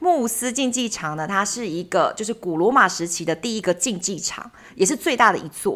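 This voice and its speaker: With an ordinary speaking voice, a woman speaks at a moderate pace and medium pitch, using lively intonation and hardly any pauses. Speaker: travel podcast co-host. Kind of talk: casual chat.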